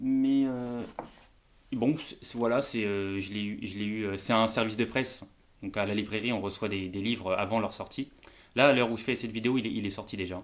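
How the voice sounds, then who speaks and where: At a moderate pace, a man talks with fairly even intonation. His pitch sits in the medium range. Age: 30s. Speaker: bookseller and book youtuber. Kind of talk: casual book review vlog. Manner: hesitant, many fillers.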